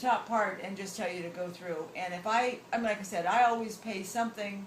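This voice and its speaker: The speaker has an American accent and talks at a fairly quick pace with ordinary pitch variation. There is audible room echo and noticeable background noise. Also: woman. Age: 60s. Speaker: travel show host. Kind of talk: interview answer, casual advice.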